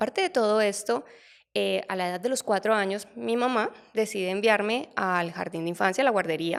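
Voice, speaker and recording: Speaking with a Colombian accent, a woman uses a medium pitch and ordinary pitch variation at a moderate pace. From Colombia, Barranquilla then Bogotá. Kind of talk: interview testimony.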